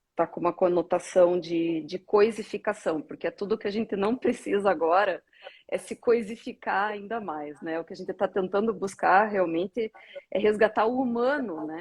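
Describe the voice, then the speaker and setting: A woman with a medium pitch speaks at a moderate pace, in an ordinary speaking voice with ordinary pitch variation and big swings in loudness. The sound is dry and close, with no echo. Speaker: guest commentator. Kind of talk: casual discussion. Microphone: echo and feedback.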